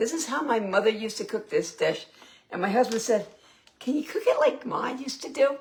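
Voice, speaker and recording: A woman talks at a fairly quick pace. Her high voice swings very widely in pitch. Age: 60s. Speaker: home cooking vlogger. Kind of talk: casual cooking livestream.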